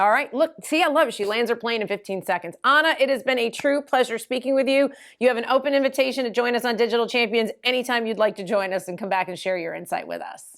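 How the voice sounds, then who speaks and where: A woman with an American accent speaks at a very fast pace with hardly any pauses, in a fairly high voice with ordinary pitch variation. The recording is very clean with a silent background. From US Northeast (New York area). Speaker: podcast host. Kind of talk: interview.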